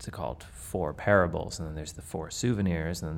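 Audible room echo surrounds a man with a very deep, low pitch. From Canada. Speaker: violinist and festival artistic director. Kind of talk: interview in front of live audience. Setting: hall with live audience.

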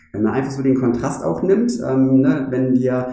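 A man with a medium pitch and a dark, mellow tone talks at a moderate pace. Audible room echo is present. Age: 40s. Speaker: bank branch manager. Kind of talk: interview conversation. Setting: bank branch.

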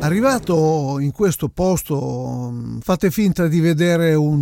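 Speaking at a very slow pace, a man uses a fairly high pitch with a dark, mellow tone. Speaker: podcast host, Latin music DJ/record scout. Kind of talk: storytelling monologue. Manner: casual, hesitant fillers.

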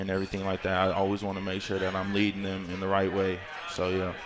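Noticeable background noise runs under the recording. A man with an American accent speaks at a fairly low pitch. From Northern California, Concord. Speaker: college football player. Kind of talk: radio interview. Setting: live venue broadcast.

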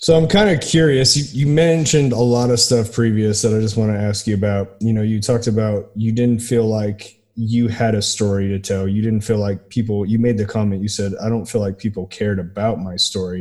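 A man speaks in a plain, everyday voice at a fairly quick pace, with hardly any pauses. His pitch is fairly low, with ordinary pitch variation. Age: 40s. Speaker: podcast host. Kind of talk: interview conversation.

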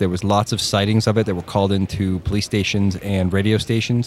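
With noticeable background noise behind him, a man talks at a fairly quick pace, his fairly low pitch held in fairly even intonation. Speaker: podcast co-host. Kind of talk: casual chat. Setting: basement.

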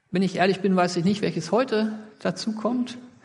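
With ordinary pitch movement, a man talks in a high voice. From Sauerland region, western Germany. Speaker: pastor. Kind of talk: sermon.

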